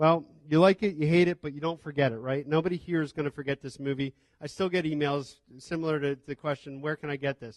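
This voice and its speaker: The dry, close sound with no echo carries a man talking at a very fast pace with fairly even intonation. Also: fairly high pitch for a man. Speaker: film distribution panelist. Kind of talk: panel talk.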